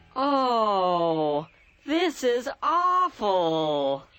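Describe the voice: This is a cartoonish character voice at a fairly high pitch. Its pitch swings very widely.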